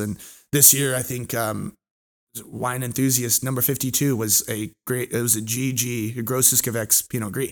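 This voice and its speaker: This man has a plain, everyday voice, medium in pitch, with an American accent and fairly even intonation. He goes at a fairly slow pace on a very clean recording with a silent background. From California, US. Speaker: wine educator. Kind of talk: casual chat.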